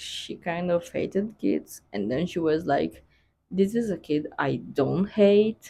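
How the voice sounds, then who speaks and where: A woman with a non-native accent speaks in a fairly low, dark, mellow tone with vocal fry. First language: not English. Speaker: book vlogger. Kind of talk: casual chat. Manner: hesitant, filler-heavy.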